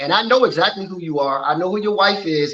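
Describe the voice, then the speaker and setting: The speech comes at a very fast pace. It carries an American accent. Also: man. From Washington, D.C. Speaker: model and clothing designer. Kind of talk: interview.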